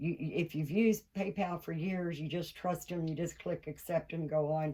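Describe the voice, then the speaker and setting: The voice has ordinary pitch variation and a Kentucky accent. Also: woman. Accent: Southern US (Kentucky). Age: 60s. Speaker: doll collector vlogger. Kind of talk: casual vlog monologue. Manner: animated.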